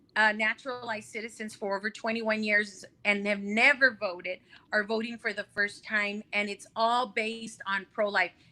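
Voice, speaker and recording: Her voice is fairly high, with a bright, sharp tone and flat, monotone intonation. The woman keeps a moderate pace with hardly any pauses. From El Paso, Texas (Mexican-born). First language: Spanish. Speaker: congressional candidate. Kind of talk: interview.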